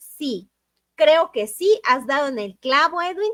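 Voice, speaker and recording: Her pitch swings very widely as a woman talks at a fairly slow pace. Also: dry, close sound with no echo. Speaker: book club host. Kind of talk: live stream chat.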